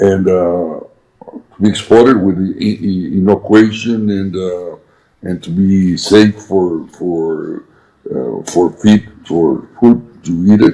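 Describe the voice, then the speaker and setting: A man with a Spanish accent speaks at a very slow pace in a very deep, low voice with ordinary pitch variation. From Mexico. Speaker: businessman. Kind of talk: interview. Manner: halting.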